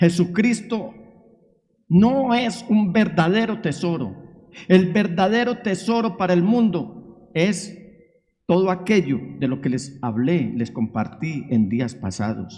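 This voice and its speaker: Heard with audible room echo, a man with a dark, mellow tone and a high pitch talks at a very slow pace with very wide pitch swings. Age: 60s. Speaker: pastor. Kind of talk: sermon. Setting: church. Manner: emphatic preaching.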